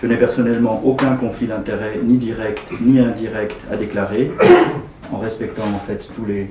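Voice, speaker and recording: A man of medium pitch talks at a moderate pace with fairly even intonation, while audible room echo and noticeable background noise are present. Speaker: gynecologist and lecturer. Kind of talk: presentation. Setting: meeting room at the parliament.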